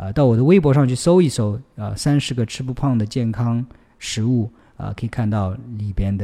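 The man's voice is dark and mellow, medium in pitch, with ordinary pitch variation at a moderate pace. The recording is very clean, with a silent background. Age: 40s. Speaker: fitness coach and podcast host. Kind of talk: listener Q&A advice monologue. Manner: hesitant with frequent fillers.

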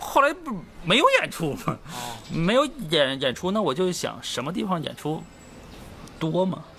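A man with a Northeastern Chinese accent speaks in a high pitch with very wide pitch swings. He leaves long, frequent pauses over noticeable background noise. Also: moderate pace. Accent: Northeastern Mandarin. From Northeast China. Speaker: stand-up comedian. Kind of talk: casual chat. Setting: in Hangzhou near West Lake.

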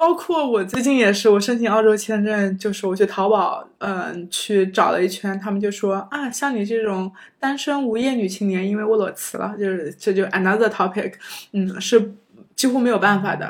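In an ordinary speaking voice, the speaker goes at a moderate pace with ordinary pitch variation. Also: woman, medium pitch for a woman. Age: 30s. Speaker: former PhD student turned office worker. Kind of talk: casual interview chat. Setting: home.

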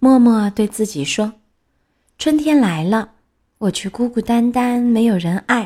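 A somewhat breathy woman at a very slow pace, dark, mellow in tone with ordinary pitch variation, very clean recording with a silent background. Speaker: children's storyteller. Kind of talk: reading aloud picture book to children. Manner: expressive storytelling voice.

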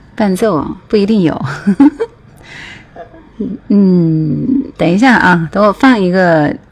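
A woman's medium-pitched voice at a very slow pace, with very wide pitch swings, very even loudness and noticeable background noise. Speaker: radio DJ hosting a music livestream. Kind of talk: casual livestream chat between songs. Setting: online livestream.

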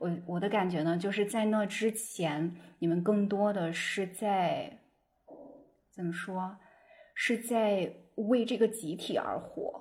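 Breathy to a degree, a woman speaks at a very slow pace and medium pitch, with ordinary pitch variation and long, frequent pauses. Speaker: podcast host. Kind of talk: casual chat. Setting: video call.

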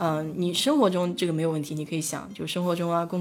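A woman at a very fast pace, fairly low in pitch, with fairly even intonation. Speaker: livestream host. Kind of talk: casual chat. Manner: hesitant, many filler sounds.

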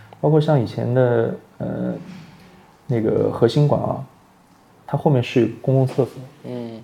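Over noticeable background noise, a man with a medium pitch and ordinary pitch variation talks at a fairly slow pace, with big swings in loudness and long, frequent pauses. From Shanghai, Wusong (Baoshan). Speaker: fashion industry worker and food enthusiast. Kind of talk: reminiscing conversation.

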